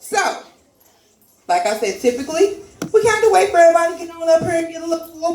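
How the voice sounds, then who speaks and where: A loud, animated woman's voice with very wide pitch swings and audible room echo. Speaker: comedy open mic host. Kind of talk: stand-up hosting with audience. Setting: stage with live audience.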